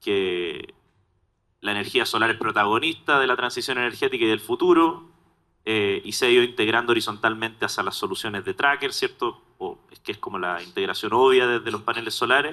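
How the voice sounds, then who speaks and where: A man speaks fairly quickly with a Chilean accent. His loudness swings widely. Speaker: solar storage industry technical lead. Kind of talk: panel discussion.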